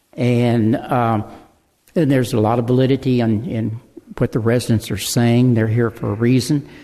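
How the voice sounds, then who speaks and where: In a Texan accent, a man talks at a moderate pace with a dark, mellow tone, medium pitch and fairly even intonation. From Texas, Houston area. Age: 80s+. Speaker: local developer speaking at public comment. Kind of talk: public comment at a town hall meeting. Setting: city council town hall meeting. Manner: halting, repeats words.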